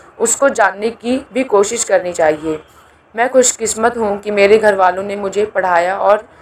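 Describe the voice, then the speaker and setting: Noticeable background noise runs under the clip. A woman speaks at medium pitch. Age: 20s. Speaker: community podcast host. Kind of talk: personal testimony.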